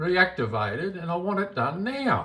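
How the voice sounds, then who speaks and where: With an Australian accent, the speaker talks at a fairly slow pace. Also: man. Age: 60s. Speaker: bank customer. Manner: agitated, repeats himself.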